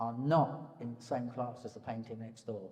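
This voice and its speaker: A man talks with an English accent. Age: 70s. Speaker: painter. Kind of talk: public conversation. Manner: halting.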